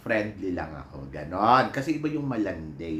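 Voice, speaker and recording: A man's fairly low voice with very wide pitch swings at a fairly slow pace, with audible room echo. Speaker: vlogger and PE teacher. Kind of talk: casual vlog chat. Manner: animated.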